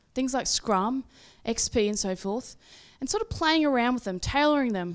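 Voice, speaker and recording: The recording is very clean, with a silent background. A woman speaks at a high pitch with very wide pitch swings. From Australia. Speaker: agile coach and consultant. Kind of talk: conference talk.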